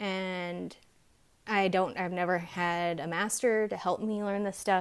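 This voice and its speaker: Mumbling in a fairly low voice, a woman keeps her intonation fairly even on a very clean recording with a silent background. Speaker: tarot card reader. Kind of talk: pick-a-card tarot reading. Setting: home video recording with camera lights.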